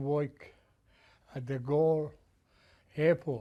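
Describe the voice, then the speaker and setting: The voice is dark and mellow, with an Italian accent, monotone, flat intonation and a very slow pace. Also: man. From Italy. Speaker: Italian immigrant, retired construction business owner. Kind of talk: oral history interview. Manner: halting.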